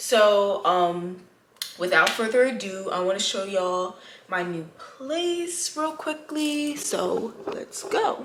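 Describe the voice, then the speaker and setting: A woman speaks very slowly in a fairly high voice with very wide pitch swings. Noticeable background noise and audible room echo surround her. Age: 20s. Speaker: lifestyle vlogger. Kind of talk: casual vlog tour. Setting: at home, apartment. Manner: casual, chatty.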